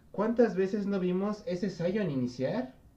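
Dark and mellow in tone, a man's voice moves with lively intonation. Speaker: esports podcast host. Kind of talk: casual chat. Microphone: voice too quiet.

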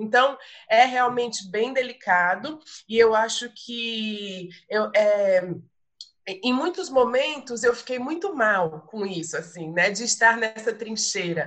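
A woman's fairly high voice, very slow pace and lively intonation. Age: 40s. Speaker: visual artist and arts educator. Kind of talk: casual chat. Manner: halting.

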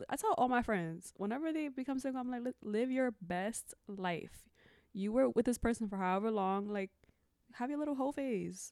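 A woman speaks in a plain, everyday voice at a fairly high pitch. Her intonation is lively and her pace moderate. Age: 20s. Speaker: teacher. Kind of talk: casual chat.

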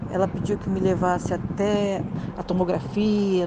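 A woman talks with fairly even intonation at a medium pitch while noticeable background noise plays behind her. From Rio de Janeiro, Brazil. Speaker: wife of near-death survivor. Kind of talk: reading aloud.

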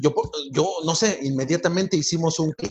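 A man's high-pitched voice. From Mexico City (Iztapalapa). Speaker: nonprofit founder, former prisoner. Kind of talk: interview testimony.

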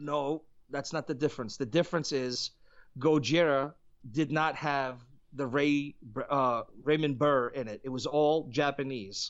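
In a normal speaking voice, a man talks at a fairly slow pace, fairly high in pitch, with fairly even intonation. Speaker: musician and podcast guest. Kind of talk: casual chat.

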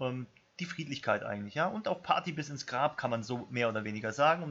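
A man of medium pitch at a very fast pace. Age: about ten years older than co-host. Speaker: podcast co-host. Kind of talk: casual chat.

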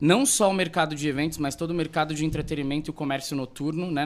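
With fairly even intonation and a fairly high pitch, a man talks in an ordinary speaking voice. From Brazil, Rondonópolis, Mato Grosso. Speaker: event planner. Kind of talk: interview.

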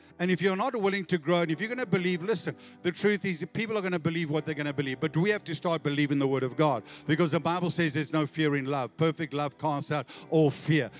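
A man talks at a very fast pace with an animated tone and a fairly high pitch. Music plays in the background. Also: ordinary pitch variation. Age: 50s. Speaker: pastor. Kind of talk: sermon. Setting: church with live congregation. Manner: animated, exhorting, rallies the congregation with call-and-response; conversational, teacherly pace with frequent false starts.

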